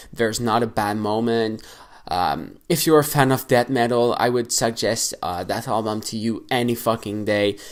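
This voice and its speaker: Heard on a very clean recording with a silent background, the speaker has a non-native accent and a moderate pace. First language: not English. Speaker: metal music YouTuber. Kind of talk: casual album review vlog. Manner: hesitant, many fillers; animated.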